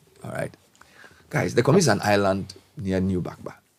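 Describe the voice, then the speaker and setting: Speaking at a moderate pace with a Ghanaian accent, the man has a very deep, low pitch. Vocal fry runs through his voice. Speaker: broadcast journalist and commentator. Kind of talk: passionate public speech on national affairs. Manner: passionate, frustrated, emphatic.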